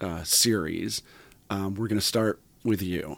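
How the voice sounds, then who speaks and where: Recorded dry and close without any echo, a man is speaking. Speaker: podcast host and company CEO. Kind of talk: casual interview. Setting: studio. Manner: relaxed, chatty.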